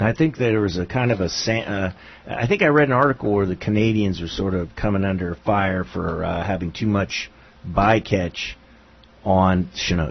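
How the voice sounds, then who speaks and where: Using an unremarkable speaking voice, a man talks at a moderate pace in a fairly low pitch with ordinary pitch variation. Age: 60s. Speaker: local radio talk show host. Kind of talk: casual radio chat.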